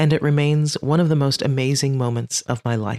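With an animated, playful tone, a woman talks at a fairly quick pace, her very deep, low pitch showing ordinary variation. The sound is dry and close with no echo, and the recording is very clean against a silent background. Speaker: podcast host and leadership coach. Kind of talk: stand-up style comedic storytelling, mock commencement speech. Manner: animated, playful, mock-earnest with comic timing.

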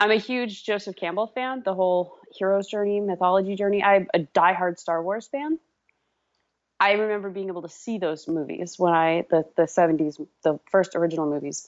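An ordinary speaking voice from a woman, medium in pitch, with ordinary pitch variation and a moderate pace. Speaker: guest co-host on call. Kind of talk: casual chat. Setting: phone call.

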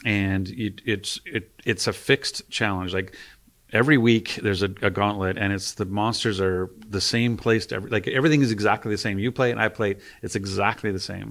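A man with an ordinary speaking voice talks at a fairly quick pace in a fairly low pitch, his intonation fairly even. Very clean recording, silent background. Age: 50s. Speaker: video game studio executive. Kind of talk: interview. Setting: studio.

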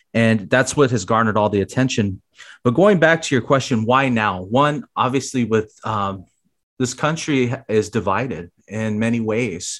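In a very clean recording with a silent background, a normal speaking voice with an American accent shows ordinary pitch variation. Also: man, medium pitch for a man, moderate pace. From Arizona, South Phoenix. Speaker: former educator. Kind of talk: interview.

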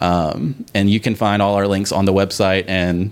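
A man is speaking. His pitch is fairly low. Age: 30s. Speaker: podcast host and game master. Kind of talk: interview.

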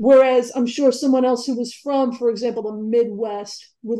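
With a New York accent, a woman speaks in a dark, mellow tone at a fairly high pitch. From New York (Queens, Long Island). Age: 40s. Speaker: author and journalist. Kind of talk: interview.

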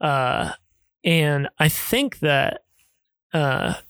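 This man has an ordinary speaking voice, fairly high in pitch, with an American accent and fairly even intonation. The recording is very clean with a silent background. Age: 20s. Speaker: host's son. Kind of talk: casual chat.

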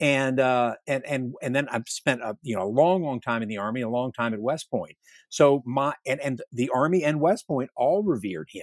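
A man with an American accent has an unremarkable speaking voice at medium pitch. He talks at a moderate pace with ordinary pitch variation. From US South, Northern Virginia. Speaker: retired army general and historian. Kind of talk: interview. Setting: virtual studio.

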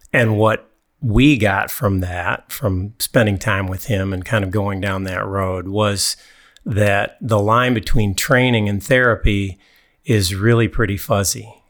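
A man's fairly low, fairly slow voice with ordinary pitch variation, on a very clean recording with a silent background. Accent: Upper Midwest. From US Midwest (mid-Michigan, East Lansing). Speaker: personal trainer. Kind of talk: casual chat. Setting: studio.

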